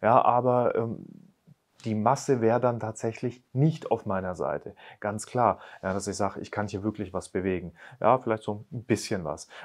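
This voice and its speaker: A man speaks at a moderate pace with ordinary pitch variation, the background quiet. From Bavaria (Upper Palatinate, Neumarkt); Bavaria. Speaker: real estate agent; interviewee. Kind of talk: interview. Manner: casual. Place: studio. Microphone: lapel.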